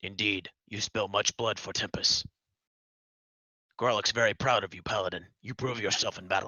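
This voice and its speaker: A man's raspy, fairly low put-on character voice, fairly even in intonation, at a moderate pace with long, frequent pauses and big swings in loudness. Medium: actual play. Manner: broken English, dropping articles and verb endings; blunt, short clipped sentences.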